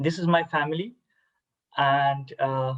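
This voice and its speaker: The man talks with a Bangladeshi accent and keeps a fairly even intonation. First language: Bengali. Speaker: army officer. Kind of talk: cultural presentation. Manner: halting, many fillers; formal.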